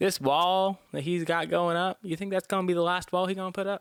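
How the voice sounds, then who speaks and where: The voice moves at a moderate pace, recorded with a dry, close sound that has no echo. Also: man. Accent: Southern US. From US South. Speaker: podcast host. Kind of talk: monologue podcast.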